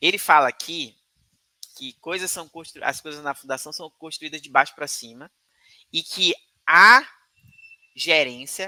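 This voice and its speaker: Long, frequent pauses mark the speech. Its pace is fairly slow. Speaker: crypto YouTuber commenting on news. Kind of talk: live commentary reading and discussing letters.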